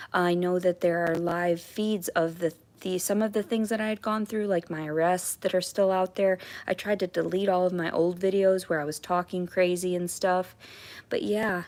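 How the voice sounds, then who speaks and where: On a very clean recording with a silent background, a woman speaks at a moderate pace in a medium-pitched, monotone, flat voice. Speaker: livestreamer. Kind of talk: casual live stream chat. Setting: home at night, live stream. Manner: halting, many fillers and restarts.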